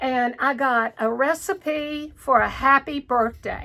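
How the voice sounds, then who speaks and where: Raised and projected, the voice has a bright, sharp tone and a strong Southern US accent. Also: woman. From North Carolina, US South. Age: 60s. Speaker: cross stitch vlogger. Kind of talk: casual chat. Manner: halting.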